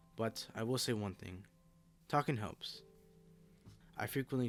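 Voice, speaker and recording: A man's fairly low voice at a fairly quick pace, with ordinary pitch variation and music in the background. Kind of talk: personal statement to camera. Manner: stutters.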